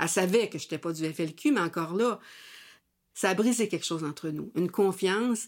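With a Quebec accent, a woman speaks at a medium pitch and moderate pace with ordinary pitch variation, in a very clean recording with a silent background. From Quebec, near Sorel. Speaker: former activist and author. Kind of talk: interview testimony.

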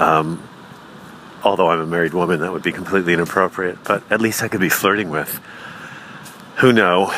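There is noticeable background noise. A man speaks fairly quickly. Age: 40s. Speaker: comedian. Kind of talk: stand-up.

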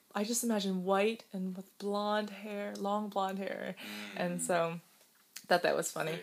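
Against noticeable background noise, a woman speaks with a General American accent in a monotone, flat intonation. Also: medium pitch for a woman, fairly slow pace. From US, Chinese-Taiwanese immigrant family. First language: Mandarin. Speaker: YouTuber and podcast co-host. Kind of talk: casual conversational podcast.

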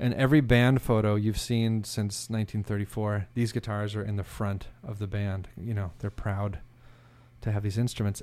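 In an unremarkable speaking voice, a man with an American accent speaks at medium pitch and a fairly slow pace with fairly even intonation. The recording is very clean, with a silent background. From Oklahoma. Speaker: instrument designer and music historian. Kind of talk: casual interview.

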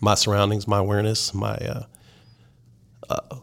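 A fairly low-pitched man with an American accent and vocal fry. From South Texas. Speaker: country music DJ. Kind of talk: casual chat.

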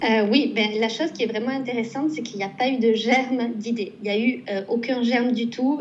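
A woman's fairly high voice with fairly even intonation and audible room echo. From southwestern France, Pau. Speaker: painter and illustrator. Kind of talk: casual interview. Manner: hesitant with repetitions.

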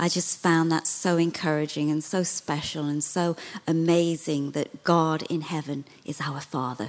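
In a British accent, a woman with a very deep, low pitch speaks at a fairly slow pace with fairly even intonation. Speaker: visiting minister. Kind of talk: sermon.

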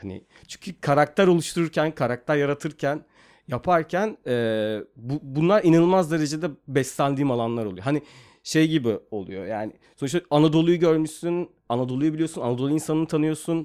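With an ordinary speaking voice, a man talks at a fairly quick pace and fairly high pitch, showing ordinary pitch variation in a very clean recording with a silent background. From Turkey (İzmir and Mersin). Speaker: screenwriter and film director. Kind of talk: casual interview.

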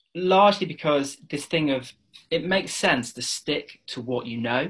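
A man speaks in an English accent. His intonation is lively and his pace moderate. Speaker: property investor. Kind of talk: interview.

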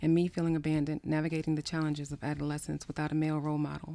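Delivered at a very fast pace, a woman's voice is very deep and low in pitch, with a dark, mellow tone and monotone, flat intonation. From US Northeast (New Jersey, then Maryland). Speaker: psychotherapist and author. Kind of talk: casual chat; reading aloud.

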